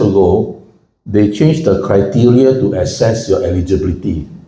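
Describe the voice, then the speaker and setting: Over audible room echo, a man speaks at a moderate pace in a fairly low pitch. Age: 70s. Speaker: financial commentator and speaker. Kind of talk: public talk. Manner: conversational, engages audience.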